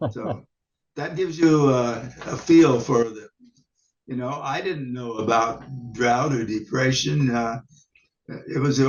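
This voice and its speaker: A man with a Midwestern American accent, at a fairly slow pace, with long, frequent pauses. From Nebraska. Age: 80s+. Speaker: UFO investigator. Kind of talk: interview. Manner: halting.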